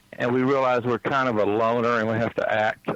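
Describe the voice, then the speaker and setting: Fairly quick speech from a man with an American accent, medium pitch and fairly even intonation, amid noticeable background noise. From US South, East Texas. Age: 60s. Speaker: psychic healer. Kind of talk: interview. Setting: phone call. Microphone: cell phone line.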